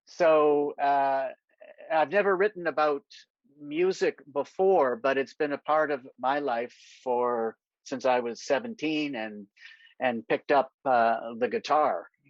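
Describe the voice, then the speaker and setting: A man's fairly high voice with a Canadian accent, fairly slow in pace, with ordinary pitch variation. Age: 60s. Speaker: novelist. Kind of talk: interview at a virtual literary event. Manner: hesitant, with many fillers.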